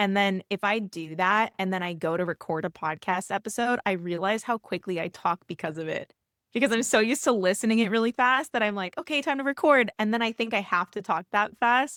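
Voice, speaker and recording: At a fairly quick pace, the animated voice shows ordinary pitch variation in a dry, close sound with no echo on a very clean recording with a silent background. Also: woman. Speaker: fitness coach. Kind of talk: casual chat. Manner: fast.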